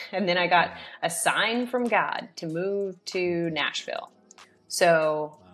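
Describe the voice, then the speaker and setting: Slowly and with big swings in loudness, a woman with an American accent speaks at a medium pitch with ordinary pitch variation. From US South. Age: 30s. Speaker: real estate investor. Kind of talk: interview.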